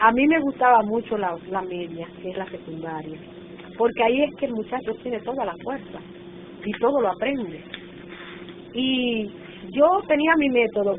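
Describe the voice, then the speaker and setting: A woman with a Dominican accent, fairly high-pitched, with lively intonation at a moderate pace amid noticeable background noise. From Dominican Republic, northern coast (Montecristi/Puerto Plata). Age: 60s. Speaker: retired teacher and textbook author. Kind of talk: oral history interview. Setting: national archive office.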